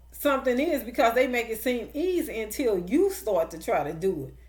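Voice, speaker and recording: A woman speaks at a moderate pace with a slight country accent and a high pitch. Audible echo from the room surrounds her voice. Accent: slight country twang. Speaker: online preacher. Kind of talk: sermon. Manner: emphatic, repetitive.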